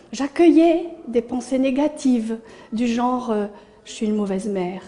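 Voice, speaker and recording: The intonation is lively and the pace fairly slow. Noticeable background noise runs underneath. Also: woman. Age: 60s. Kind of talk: testimony. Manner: hesitant, frequent fillers.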